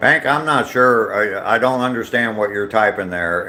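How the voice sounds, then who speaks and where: Here a man talks at a fairly slow pace. His voice sits at a medium pitch. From US, not the South; grew up where he lives now. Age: 60s. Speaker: live streamer, vlogger. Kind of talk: casual chat reading live comments while walking. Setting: outdoors on a walking trail, live stream. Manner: hesitant, many fillers.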